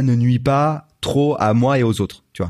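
A man's medium-pitched voice at a very slow pace. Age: 30s. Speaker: YouTuber. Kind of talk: casual chat.

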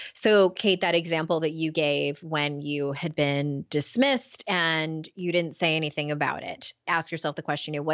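A woman speaks in a very deep, low pitch at a moderate pace. Her intonation stays fairly even. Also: hardly any pauses. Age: 40s. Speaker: author and life coach. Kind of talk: interview. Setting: video call.

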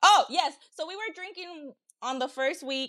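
In an American accent, a woman uses a raised, projected voice with a bright, sharp tone at a very slow pace, on a very clean recording with a silent background and a dry, close sound with no echo. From Los Angeles, California. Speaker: guest, host's ex-girlfriend. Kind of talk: casual chat.

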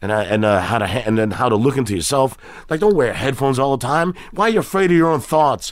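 With an American accent, a man speaks very fast, his pitch swinging very widely. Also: medium pitch for a man. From Queens, New York City. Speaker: comedian. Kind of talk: casual chat. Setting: garage studio.

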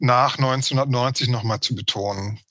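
A man is speaking. His pace is very slow. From East Berlin, former GDR. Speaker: historian of migration. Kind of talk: interview conversation.

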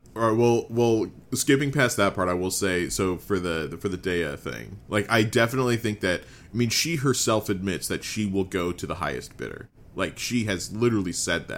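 Here is a man with an ordinary speaking voice. He talks at a moderate pace, fairly low in pitch with ordinary variation. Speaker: podcast co-host. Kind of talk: casual chat. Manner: casual, upbeat.

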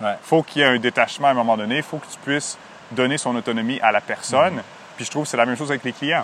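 A man talks at a very fast pace with fairly even intonation. His loudness swings a lot, and there is noticeable background noise. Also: medium pitch for a man. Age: 30s. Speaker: therapist and podcast co-host. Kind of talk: casual chat.

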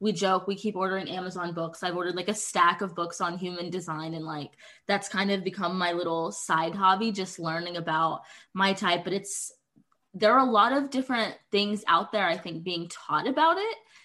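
Her tone bright and sharp, a woman speaks at a medium pitch and moderate pace with ordinary pitch variation. The background is quiet. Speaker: podcast host. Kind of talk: casual chat.

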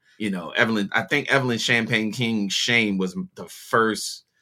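On a very clean recording with a silent background, a man speaks with a Baltimore accent at a moderate pace. His fairly low voice has a bright, sharp tone. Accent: Baltimore American. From US, Baltimore. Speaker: music producer and DJ. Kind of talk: interview conversation.

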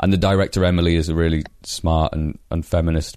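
There is a quiet background as a man with a Yorkshire accent speaks in a very deep, low pitch. His tone is dark and mellow, and his intonation is fairly even. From northern England, Leeds. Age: 20s. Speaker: comedian. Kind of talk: casual chat.

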